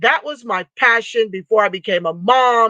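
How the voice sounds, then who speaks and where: A woman speaks loudly at a fairly slow pace in a fairly high pitch with a bright, sharp tone. The sound is dry and close with no echo, against a quiet background. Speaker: livestream host and reparations advocate. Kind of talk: live stream chat reading viewer comments. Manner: impassioned, loud.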